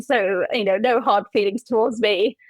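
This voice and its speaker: A woman speaks with a Welsh accent. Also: dry, close sound with no echo. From Wales. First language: Welsh and English. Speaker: humanist celebrant. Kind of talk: interview answer.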